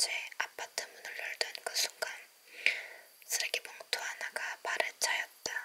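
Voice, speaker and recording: Whispered words come at a fairly slow pace, with noticeable background noise underneath. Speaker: ASMR creator. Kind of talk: ASMR book reading.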